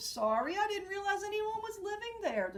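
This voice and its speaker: A woman puts on a squeaky character voice pitched extremely high. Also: moderate pace. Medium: read story. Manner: bubbly, talkative.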